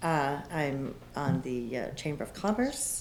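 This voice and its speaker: A woman with an American accent and lively intonation, plus audible room echo and noticeable background noise. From Florida, USA. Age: 60s. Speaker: election candidate. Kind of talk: candidate forum answer.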